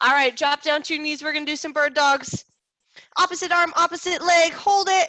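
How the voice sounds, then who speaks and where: A woman speaks in a raised, projected voice with a high pitch and a bright, sharp, energetic tone. Her pace is fairly quick, and the sound is dry and close with no echo. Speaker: fitness instructor. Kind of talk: fitness class instruction. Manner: energetic, encouraging.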